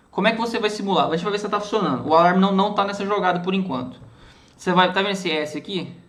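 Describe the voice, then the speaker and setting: Audible room echo surrounds a man talking at a very fast pace, his pitch high with ordinary variation. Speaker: student teaching a class lab session. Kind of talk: online class tutorial. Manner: halting, many repetitions and fillers.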